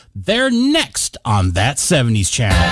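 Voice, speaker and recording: A man speaks in an upbeat tone, his pitch swinging very widely. Music plays in the background. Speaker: radio DJ. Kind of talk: radio aircheck, music station DJ links. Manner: upbeat, friendly radio delivery.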